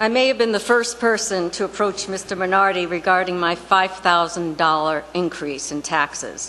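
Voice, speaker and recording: A woman with a normal speaking voice talks at a moderate pace and a medium pitch, with ordinary pitch variation. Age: 60s. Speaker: retired resident speaking at public comment. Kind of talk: public comment at town council meeting. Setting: town council meeting.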